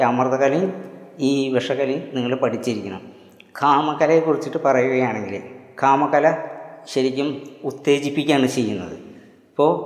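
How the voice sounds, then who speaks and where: Through noticeable background noise and audible room echo, a man speaks at a medium pitch with ordinary pitch variation. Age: old. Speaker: homeopathy doctor and martial arts teacher. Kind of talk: video lecture. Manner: halting.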